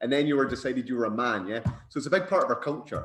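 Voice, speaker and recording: Over music in the background, a man with a Scottish accent speaks at a very fast pace in a fairly high pitch with ordinary pitch variation. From Scotland. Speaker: bodybuilder and posing coach. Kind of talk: podcast interview.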